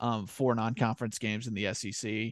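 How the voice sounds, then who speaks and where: Against a quiet background with a dry, close sound and no echo, a man speaks in an ordinary speaking voice, medium in pitch with fairly even intonation. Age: 20s. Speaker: college sports podcast host. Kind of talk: casual chat.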